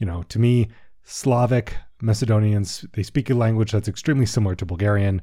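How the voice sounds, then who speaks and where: A man with an American accent has a dark, mellow tone that is somewhat breathy. His intonation is fairly even, and the recording is very clean with a silent background. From US, Washington D.C. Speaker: history podcast host. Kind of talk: casual commentary; scripted narration.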